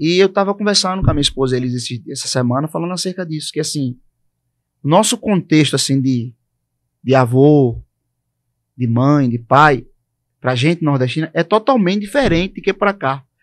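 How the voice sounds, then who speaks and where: Against a quiet background, a man with a Pernambuco accent and a fairly high pitch speaks at a moderate pace with lively intonation and long, frequent pauses. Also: dry, close sound with no echo. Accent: Northeastern Brazilian (Pernambuco). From Brazil, Northeast (Recife, Pernambuco). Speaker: podcast co-host. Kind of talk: casual chat.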